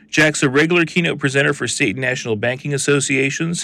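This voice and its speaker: An unremarkable speaking voice from a man, with ordinary pitch variation. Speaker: podcast host. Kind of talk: interview. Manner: upbeat.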